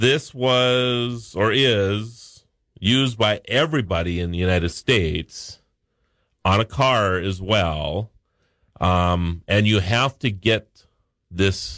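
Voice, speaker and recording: A man speaks at a very slow pace. His pitch is fairly low, with ordinary variation. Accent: North Dakota. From North Dakota. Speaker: regular tech and national-days contributor. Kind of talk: casual radio chat.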